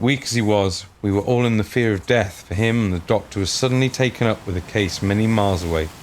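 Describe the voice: The speaker does plain reading aloud, and the pitch shifts by an ordinary amount.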